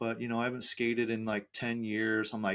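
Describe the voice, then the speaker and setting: A man with an ordinary speaking voice at medium pitch, fairly quick pace, in a very clean recording with a silent background. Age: 50s. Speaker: podcast host, skateboarder. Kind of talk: casual interview chat.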